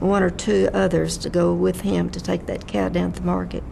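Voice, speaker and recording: In a Texan accent, a woman speaks over noticeable background noise with audible room echo. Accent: Texan Southern US. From Texas, Fort Worth area. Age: 90s. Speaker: oral history interviewee. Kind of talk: oral history interview. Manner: halting.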